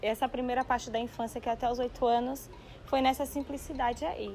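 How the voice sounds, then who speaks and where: Over music in the background, a woman speaks at a high pitch with monotone, flat intonation. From Brazil, interior of Bahia then São Paulo from age 8. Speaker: dancer. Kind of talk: documentary interview.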